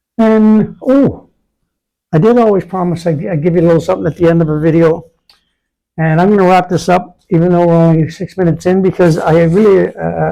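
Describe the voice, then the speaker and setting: A man's high, fairly quick voice with a dark, mellow tone and ordinary pitch variation. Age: 60s. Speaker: vlogger. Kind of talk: casual monologue. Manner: rambling, halting.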